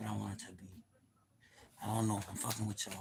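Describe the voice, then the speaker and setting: A man talks in a fairly low pitch laced with vocal fry. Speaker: live streamer. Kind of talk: casual livestream monologue. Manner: fast; animated.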